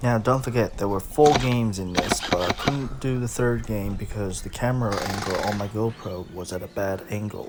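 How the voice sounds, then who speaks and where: The speech moves at a moderate pace with ordinary pitch variation, and noticeable background noise runs behind it. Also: man. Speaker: gelball player and reviewer. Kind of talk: gameplay commentary narration.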